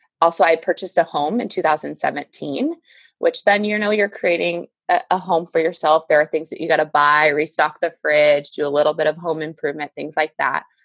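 A woman with a very deep, low pitch talks at a moderate pace in a dry, close sound with no echo. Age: 30s. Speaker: confidence coach and librarian. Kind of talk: casual chat. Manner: animated.

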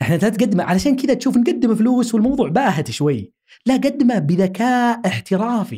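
A man with a high pitch and a dark, mellow tone speaks at a moderate pace with lively intonation, very even loudness, and hardly any pauses. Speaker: linguistics professor and researcher. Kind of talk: interview conversation.

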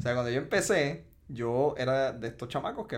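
A man talks fairly quickly with ordinary pitch variation, noticeable background noise present throughout. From Puerto Rico, Ponce. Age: 30s. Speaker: entrepreneur, cannabis dispensary CEO. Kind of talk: interview, casual chat. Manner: halting, with fillers.

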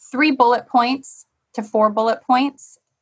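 A high-pitched woman with an American accent at a fairly slow pace. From Michigan. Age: 30s. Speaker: sports TV reporter. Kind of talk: casual interview chat.

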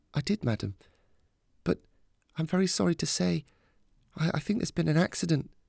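Using a put-on character voice, a man speaks at a fairly high pitch with vocal fry, a slightly mellow tone, and lively intonation at a moderate pace. The sound is dry and close with no echo, in a very clean recording with a silent background.

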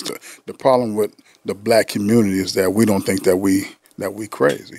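With an American accent, a man speaks at a moderate pace in a dark, mellow tone, with fairly low pitch and fairly even intonation. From US West Coast, San Diego. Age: 50s. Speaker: therapist. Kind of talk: casual chat.

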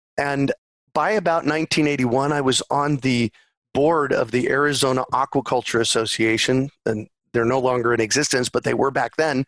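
A plain, everyday voice moves at a moderate pace, with a dry, close sound and no echo. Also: man. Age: 50s. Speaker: urban farmer and permaculture advocate. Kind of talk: interview.

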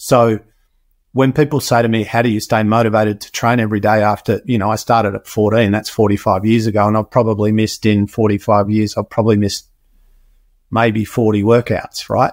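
On a very clean recording with a silent background, a man with an Australian accent speaks at a fairly quick pace and fairly low pitch in a monotone, flat intonation. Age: 50s. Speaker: health and performance expert, podcaster. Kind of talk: interview conversation.

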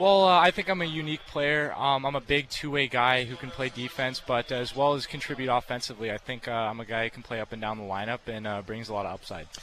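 Talking very fast with hardly any pauses, a man with an American accent and a medium-pitched voice has lively intonation and big swings in loudness over noticeable background noise. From Arizona, US. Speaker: drafted hockey player. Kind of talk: interview. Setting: arena radio row.

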